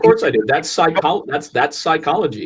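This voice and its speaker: A man with a somewhat breathy voice talks at a moderate pace, his intonation lively. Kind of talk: casual podcast conversation.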